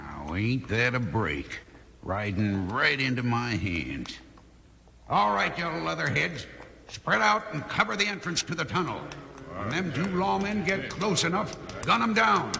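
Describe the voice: A man puts on a character voice, pitched fairly high, with big pitch swings and vocal fry. His tone is bright and sharp, and he talks at a fairly slow pace.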